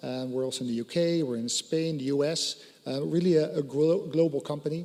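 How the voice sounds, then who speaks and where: The speech moves at a moderate pace with fairly even intonation, in a Dutch accent. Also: man. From Netherlands. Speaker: satellite company executive. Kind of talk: conference panel presentation.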